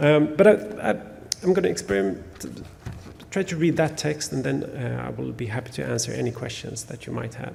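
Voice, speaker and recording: With a Swedish accent, a man talks at a fairly quick pace yet leaves long, frequent pauses, against noticeable background noise. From Sweden. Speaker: novelist. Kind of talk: author talk with reading aloud. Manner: halting, many fillers.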